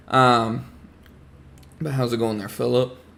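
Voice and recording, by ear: A man speaks slowly at a medium pitch with a fairly bright tone. His voice shows vocal fry and little pitch movement.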